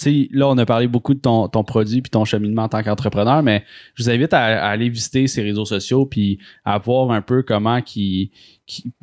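A man with an ordinary speaking voice talks at a moderate pace, his medium pitch kept fairly even. The background is quiet. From Quebec. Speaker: podcast host. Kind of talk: casual chat. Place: studio.

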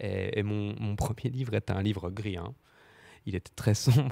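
Over a quiet background, a man talks at a moderate pace with a fairly low pitch and ordinary pitch variation. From eastern France, Doubs (Audincourt); eastern France. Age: 20s. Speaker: novelist; guest. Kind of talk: literary panel discussion. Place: studio. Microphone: handheld.

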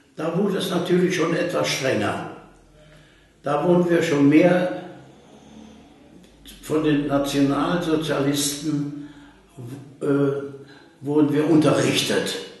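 Strong room echo surrounds the voice. The pace is very slow. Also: man. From Germany. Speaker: contemporary witness. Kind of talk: oral history interview. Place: home room.

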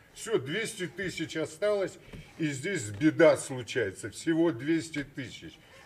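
A man with a fairly high pitch and vocal fry talks very slowly, his intonation lively. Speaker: businessman in a bank dispute; guest. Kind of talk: studio talk show discussion. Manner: animated. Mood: aggrieved, earnest. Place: studio. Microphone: studio mic.

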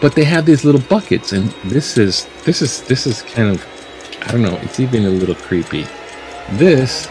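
Clear background music under a man speaking at a moderate pace. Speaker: video blogger. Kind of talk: casual vlog chat. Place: home room. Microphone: webcam.

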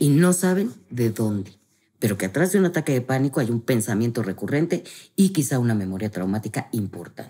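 A woman speaks at a fairly quick pace, her pitch very deep and low. Her dark, mellow tone moves through very wide pitch swings. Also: quiet background. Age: 50s. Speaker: family constellation therapist; guest. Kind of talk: interview, explanatory conversation. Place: home room. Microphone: studio mic.

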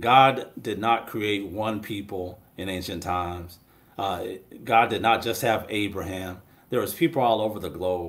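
At a moderate pace, a man talks in a fairly low pitch with ordinary pitch variation and long, frequent pauses. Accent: American. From Washington State, US. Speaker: pastor. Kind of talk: panel discussion. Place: home room. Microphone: webcam.

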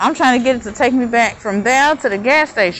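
Over light background noise, a woman with a fairly high pitch talks very fast with lively intonation. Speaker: vlogger. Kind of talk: casual vlog monologue. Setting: outdoors. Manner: rambling, casual. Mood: annoyed about traffic. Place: street. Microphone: phone near.

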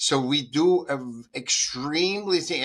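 The voice has a bright, sharp tone and speaks in an Austrian accent. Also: man. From Austria, Vienna. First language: German. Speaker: artist and speaker. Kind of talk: interview. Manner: halting.

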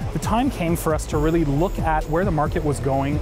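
Clear music plays in the background as a man talks. He moves at a fairly quick pace with ordinary pitch variation. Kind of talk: interview answer. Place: hall.

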